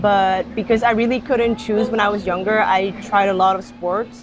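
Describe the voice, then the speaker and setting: Music plays in the background as a woman talks at a moderate pace. Her voice sits at medium pitch with ordinary pitch variation. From Netherlands. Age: 20s. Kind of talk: interview.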